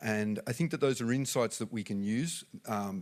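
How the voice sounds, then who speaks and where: A man with an Australian accent speaks at a moderate pace, his pitch fairly low. The recording is very clean, with a silent background. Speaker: business executive. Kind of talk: conference talk. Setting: stage with audience. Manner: halting.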